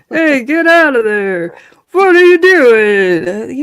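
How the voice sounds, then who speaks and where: In a put-on character voice with a New England accent, the speaker talks at a very slow pace in a fairly high pitch with very wide pitch swings. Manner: gruff.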